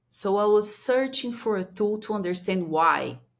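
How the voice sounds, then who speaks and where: A woman with a Brazilian Portuguese accent is heard on a very clean recording with a silent background. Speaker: strategic planning consultant. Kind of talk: interview. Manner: halting.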